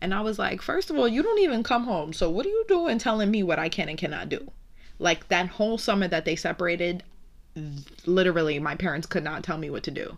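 A woman's medium-pitched voice at a very fast pace, with lively intonation. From New York City, Brooklyn. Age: 20s. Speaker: podcast host. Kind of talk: casual monologue. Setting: home recording. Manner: animated.

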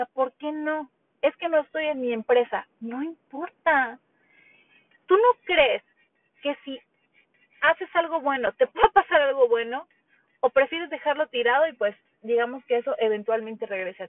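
A woman speaks with a high pitch and big swings in loudness. Long pauses come often. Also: lively intonation, moderate pace. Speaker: podcast host. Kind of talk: solo monologue. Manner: conversational, many fillers.

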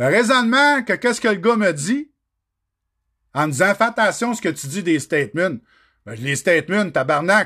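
In a Quebec accent, a man speaks in an animated, bright, sharp tone with a raised, projected voice, high pitch, very wide pitch swings and long, frequent pauses, against a quiet background. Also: moderate pace. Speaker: trucking podcaster. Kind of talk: solo livestream rant. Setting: livestream.

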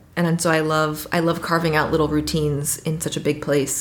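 Here is a woman with an American accent and a very deep, low pitch. Her intonation is monotone and flat, and audible room echo surrounds her. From Washington, D.C. area, US. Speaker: trip leader living abroad. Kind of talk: casual interview.

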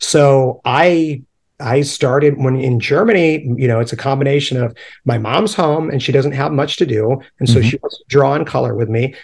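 This man's somewhat breathy, fairly high-pitched voice moves at a moderate pace with ordinary pitch variation. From upstate New York. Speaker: punk rock artist and illustrator. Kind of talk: casual chat.

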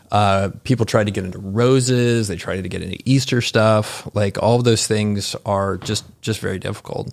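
With a normal speaking voice, a man talks at a moderate pace with hardly any pauses, his fairly low pitch held in fairly even intonation, on a very clean recording with a silent background. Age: 40s. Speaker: entrepreneur. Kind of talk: casual chat.

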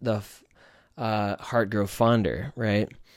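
A man talks in a very clean recording against a silent background. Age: 30s. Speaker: podcast host. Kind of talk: solo monologue. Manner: casual, hesitant with many fillers.

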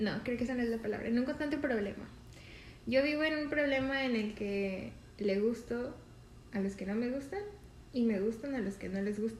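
Over noticeable background noise and audible room echo, a woman with a fairly high pitch speaks at a moderate pace, with ordinary pitch variation and long, frequent pauses. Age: 20s. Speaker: podcast co-host. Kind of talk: casual chat.

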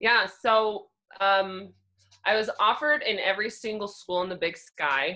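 With an American accent, a woman speaks at a moderate pace in a bright, sharp tone. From Central Oregon, US. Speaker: former college basketball player. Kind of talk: interview. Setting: video call.

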